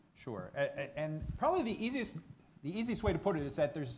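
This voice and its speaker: Against noticeable background noise, a man talks at a very fast pace. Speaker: university staff panelist. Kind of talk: panel Q&A answer.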